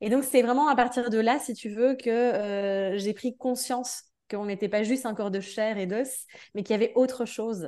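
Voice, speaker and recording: Over a quiet background, a woman with a fairly high voice and a dark, mellow tone speaks at a moderate pace with fairly even intonation. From Belgium. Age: 30s. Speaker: energy therapist and dance teacher. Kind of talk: casual interview. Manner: hesitant, many fillers.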